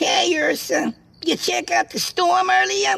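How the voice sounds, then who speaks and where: A put-on character voice carries the lines. It moves along at a fairly slow speed. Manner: shouting.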